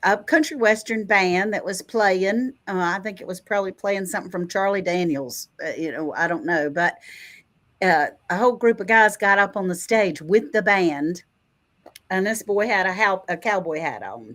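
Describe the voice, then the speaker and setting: An unremarkable speaking voice from a woman of medium pitch, lively intonation and moderate pace, on a very clean recording with a silent background. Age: 60s. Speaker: retired homesteader. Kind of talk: casual chat. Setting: live stream.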